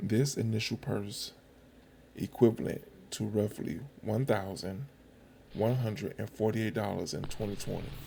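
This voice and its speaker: Somewhat breathy, a man speaks fairly slowly at a fairly low pitch with ordinary pitch variation. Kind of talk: casual commentary over archival footage.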